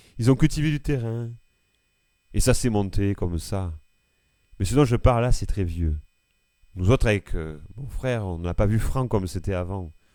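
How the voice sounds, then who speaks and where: The voice has a dark, mellow tone and lively intonation at a moderate pace, on a very clean recording with a silent background. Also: man. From France, Ardèche (Eyrieux valley). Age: 70s. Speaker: farmer. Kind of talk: documentary testimony.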